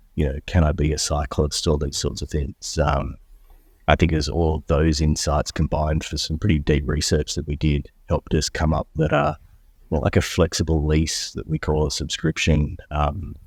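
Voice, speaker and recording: In an Australian accent, a man speaks at a very deep, low pitch and a moderate pace, somewhat breathy. His intonation is flat and monotone, and the sound is dry and close with no echo. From Australia, Melbourne. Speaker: entrepreneur, company co-founder. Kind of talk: interview. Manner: casual with frequent fillers.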